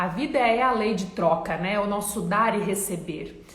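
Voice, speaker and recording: Amid noticeable background noise and audible room echo, a woman speaks at a moderate pace in an animated tone. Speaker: self-help coach. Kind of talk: motivational talk.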